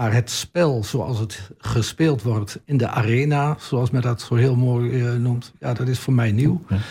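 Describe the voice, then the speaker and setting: A man speaks at a fairly slow pace with a medium pitch, a somewhat breathy, dark and mellow tone, and hardly any pauses. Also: ordinary pitch variation. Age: 70s. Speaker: municipal councillor. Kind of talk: radio interview. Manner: halting, many repetitions and fillers.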